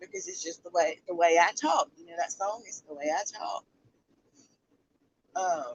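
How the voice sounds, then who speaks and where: Speaking at a moderate pace in a Southern US accent, the voice shows big swings in loudness and long, frequent pauses. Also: woman. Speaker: youtube commentator livestreamer. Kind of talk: casual livestream commentary. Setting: in a car. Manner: animated.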